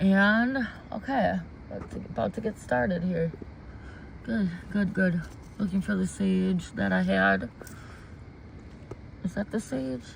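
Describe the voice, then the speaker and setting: Someone with an American accent speaks at a fairly slow pace, leaving long, frequent pauses. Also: woman. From US Midwest. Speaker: intuitive card reader. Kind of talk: livestream chat. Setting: outdoors in garden. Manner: halting.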